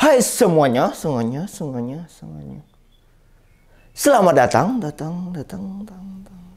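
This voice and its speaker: Cartoonish character voice from a man, high-pitched, at a moderate pace. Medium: puppet. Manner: repeats words like an echo.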